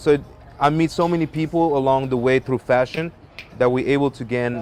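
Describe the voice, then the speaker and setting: Fairly quick and fairly high in pitch, a man speaks in a French accent with fairly even intonation. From Africa, French-speaking. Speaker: musician and model. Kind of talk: casual interview.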